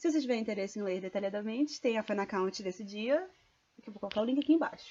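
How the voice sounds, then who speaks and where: Very fast speech carries lively intonation. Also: woman, fairly high pitch for a woman. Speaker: vlogger. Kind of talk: casual vlog storytelling.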